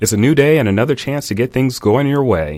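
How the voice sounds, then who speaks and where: The recording is very clean, with a silent background. A man with a plain, everyday voice talks fairly quickly with lively intonation. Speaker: radio host. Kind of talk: talk radio show pitch.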